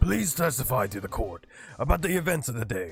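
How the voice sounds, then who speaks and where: A man puts on a character voice at a fairly quick pace. His pitch swings very widely. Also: medium pitch for a man. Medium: virtual streamer. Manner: formal, deliberate.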